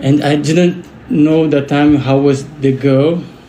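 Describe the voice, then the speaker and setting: A man with a Brazilian Portuguese accent at a very slow pace, fairly even intonation, audible room echo and noticeable background noise. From Brazil, Rio de Janeiro. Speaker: delivery worker, witness who intervened in an attack. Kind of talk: interview testimony. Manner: halting, with repeated words.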